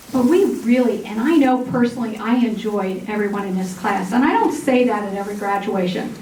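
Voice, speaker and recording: With hardly any pauses and ordinary pitch variation, the speech comes through noticeable background noise and audible room echo. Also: woman, fairly high pitch for a woman. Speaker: massage therapy program coordinator. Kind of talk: graduation ceremony speech. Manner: loud. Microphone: microphone cutting out.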